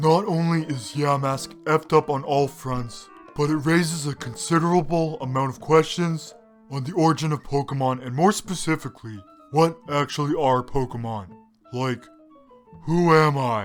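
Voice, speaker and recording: A cartoonish character voice goes at a moderate pace. Faint music plays in the background. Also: man, fairly high pitch for a man. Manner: dry, sarcastic.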